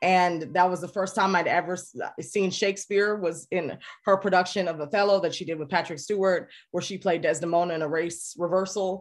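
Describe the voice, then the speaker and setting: A woman with an American accent talks fairly quickly at a medium pitch, her intonation fairly even. She has an unremarkable speaking voice, and the background is quiet. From US, Jamaican American family. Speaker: actress and comedian. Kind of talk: casual interview.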